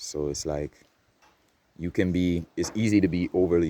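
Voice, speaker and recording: A man's dark, mellow tone carries a non-native accent. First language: not English. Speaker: spiritual vlogger. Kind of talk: casual monologue. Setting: outdoors in nature. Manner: projecting louder than usual.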